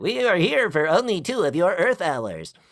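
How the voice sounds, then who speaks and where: Someone does a put-on character voice at a moderate pace. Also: man, high pitch for a man. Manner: stilted, robotic.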